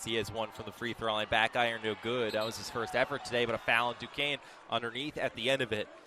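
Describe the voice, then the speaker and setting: Noticeable background noise surrounds a man who talks very fast at medium pitch. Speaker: sports play-by-play announcer. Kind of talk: live basketball play-by-play broadcast. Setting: radio broadcast from a basketball game. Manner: fast, energetic.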